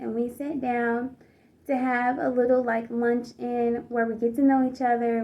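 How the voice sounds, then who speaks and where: This woman has an American accent and a fairly high pitch. Her pace is moderate. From US South, Georgia. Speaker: pageant contestant. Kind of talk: personal storytelling vlog. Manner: casual, with many fillers.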